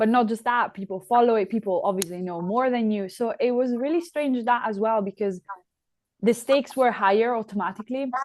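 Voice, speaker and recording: Speaking at a fairly quick pace, a woman with an Italian accent has a fairly high pitch and ordinary pitch variation. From Italy (Trento). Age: 20s. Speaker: ice hockey player. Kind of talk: podcast interview.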